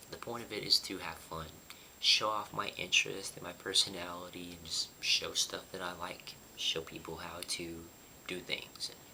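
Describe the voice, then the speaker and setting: A man whispering over noticeable background noise. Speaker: YouTuber. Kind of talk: casual vlog talk. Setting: apartment. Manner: quiet, lowered voice.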